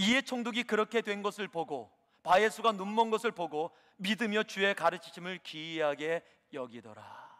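Animated and at a moderate pace, a man speaks with a high pitch and a bright, sharp tone in a dry, close sound with no echo. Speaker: preacher. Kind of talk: sermon. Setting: church. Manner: animated, rhetorical questions, exhorting the congregation.

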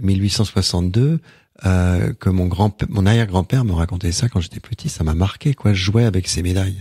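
Somewhat breathy and dark, mellow in tone, a man speaks at a very deep, low pitch with ordinary pitch variation and a fairly slow pace. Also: dry, close sound with no echo. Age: 60s. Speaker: storyteller and author on Celtic shamanism. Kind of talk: radio interview. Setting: radio studio. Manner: halting, frequent repetitions.

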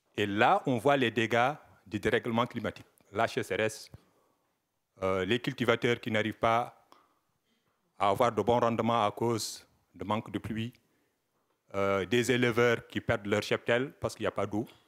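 Speaking at a fairly slow pace with long, frequent pauses, the voice keeps a fairly even intonation over a quiet background. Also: man, medium pitch for a man. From Sahel, West Africa. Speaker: audience member. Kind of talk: audience question. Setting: conference hall with audience. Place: hall. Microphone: handheld.

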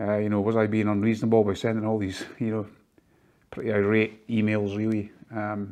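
The speaker is a man with a fairly low pitch and a dark, mellow tone. He talks at a fairly quick pace in a monotone, flat intonation.

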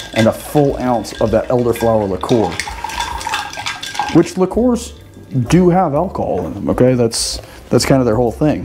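Moderate pace against noticeable background noise. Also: man. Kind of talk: tutorial. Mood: relaxed, chatty. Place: bar. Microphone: camera far.

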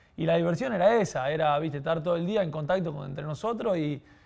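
A man with an unremarkable speaking voice and a fairly high pitch talks at a fairly quick pace over a quiet background. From Argentina, southern Santa Fe province. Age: 20s. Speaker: professional football goalkeeper; guest. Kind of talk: podcast interview. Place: studio. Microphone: lapel.

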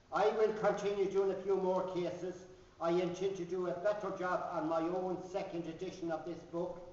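With audible room echo, a man speaks in a high voice at a moderate pace using monotone, flat intonation. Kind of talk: speech at a book launch. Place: hall. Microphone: camera far.

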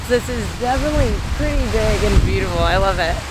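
A woman at a moderate pace, in dry sound with no echo, over noticeable background noise. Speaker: travel vlogger. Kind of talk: casual vlog chat. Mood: excited, cheerful. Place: forest. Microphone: phone near.

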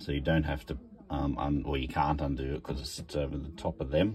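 There is light background noise as a man speaks. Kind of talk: casual tutorial walkthrough. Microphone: phone near.

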